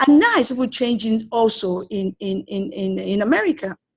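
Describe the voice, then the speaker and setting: A woman's fairly high, somewhat breathy voice moves with lively intonation. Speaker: film producer. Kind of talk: interview. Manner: fast.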